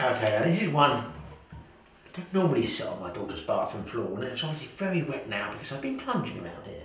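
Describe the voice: At a fast pace, a man speaks with a fairly bright tone and big pitch swings, and strong room echo surrounds his voice. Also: medium pitch for a man.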